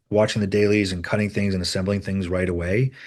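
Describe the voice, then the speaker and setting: A man's fairly low voice with a slight Rhode Island accent against a quiet background. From US Northeast, Rhode Island. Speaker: film editor. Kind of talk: interview. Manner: halting, many repeated words and fillers.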